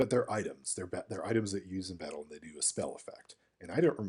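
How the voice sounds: The pitch shows ordinary variation. A natural reading voice carries the clip.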